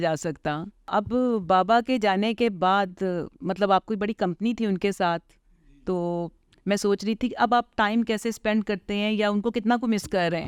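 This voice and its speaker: In a very clean recording with a silent background and a dry, close sound with no echo, a woman with an unremarkable speaking voice talks at a fairly high pitch with ordinary pitch variation. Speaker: interviewer / show host. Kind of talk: interview questions, casual talk.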